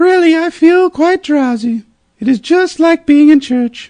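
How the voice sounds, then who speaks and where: A woman puts on a squeaky character voice at a high pitch and moderate pace, recorded dry and close with no echo. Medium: read story.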